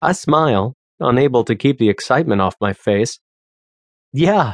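Speaking at a moderate pace, a man uses an ordinary speaking voice with medium pitch and ordinary pitch variation, recorded dry and close with no echo. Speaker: audiobook narrator. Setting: studio. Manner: casual and conversational, with voiced characters.

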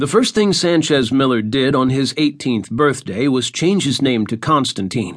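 Set against a quiet background, a man with a fairly high pitch and an ordinary speaking voice moves at a moderate pace with lively intonation. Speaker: audiobook narrator. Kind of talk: dramatic audiobook narration, fiction read aloud. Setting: studio.

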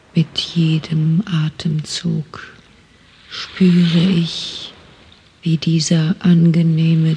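A woman with a fairly low voice speaks at a very slow pace in a gentle, calm tone. Her intonation is monotone and flat, and noticeable background noise is present. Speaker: audiobook narrator. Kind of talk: guided meditation, autogenic relaxation script in first person. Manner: slow, calm, soothing, soft, even pacing with long pauses; hypnotic, gentle, repetitive.

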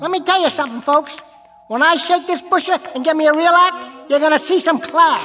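The pace is fairly quick. Faint music sits in the background. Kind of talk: nightclub comic patter. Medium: audio drama. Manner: wisecracking, brash, insulting.

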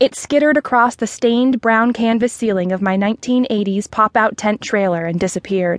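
Pitch shifts in an ordinary way across plain reading aloud.

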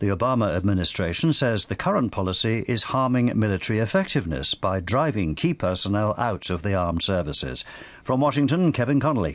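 A man with a British accent races along at a very fast pace, his fairly low voice swinging very widely in pitch while his loudness stays very even. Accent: British (BBC). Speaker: radio newsreader. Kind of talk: crisp bulletin newsreading, headline summaries handed off to correspondents. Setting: studio. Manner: measured, even-paced and formal; neutral, authoritative delivery.

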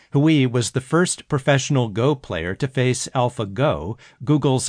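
A man talks at a moderate pace and medium pitch, with a plain, everyday voice. His pitch variation is ordinary, and the background is quiet. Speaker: audiobook narrator. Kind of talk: audiobook narration of magazine articles. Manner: formal, measured news-style delivery; clear, steady, even pacing.

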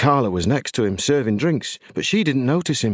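Lively intonation at a fairly quick pace in a British accent, with a dry, close sound, no echo and a quiet background. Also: man. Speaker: audiobook narrator. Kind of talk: audiobook narration in the voice of an eleven-year-old boy, ghost story.

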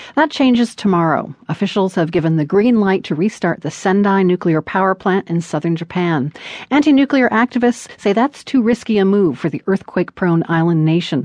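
A woman with an ordinary speaking voice and medium pitch talks at a moderate pace, with lively intonation and hardly any pauses, in a dry, close sound with no echo over a quiet background. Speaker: radio news host. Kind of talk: radio news reading, scripted headlines and intro. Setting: studio. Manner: crisp, formal, measured broadcast delivery.

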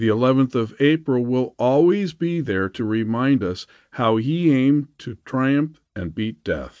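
Against a quiet background, a man with a plain, everyday voice speaks at a fairly slow pace, his medium pitch carried by lively intonation. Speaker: audiobook narrator. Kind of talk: audiobook narration of a rousing political proclamation. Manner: declamatory, building rally-style fervor; solemn, commemorative cadence.

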